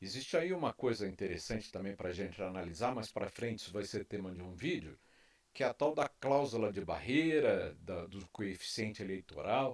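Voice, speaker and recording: With lively intonation and a fairly low pitch, a man talks at a moderate pace. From Brazil. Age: 60s. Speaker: YouTube commentator. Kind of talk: opinion monologue. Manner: impassioned.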